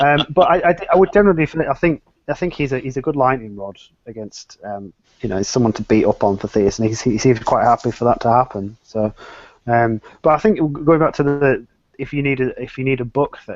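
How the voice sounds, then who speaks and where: With an English accent, a man talks at a fairly quick pace in a medium pitch, his intonation lively. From England. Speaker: atheist panelist. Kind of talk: casual chat.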